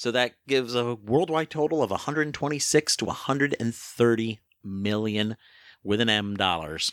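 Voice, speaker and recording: In a normal speaking voice, a man talks at medium pitch with lively intonation, and the sound is dry and close with no echo. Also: moderate pace. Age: 50s. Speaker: film website editor and podcast co-host. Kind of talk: casual chat.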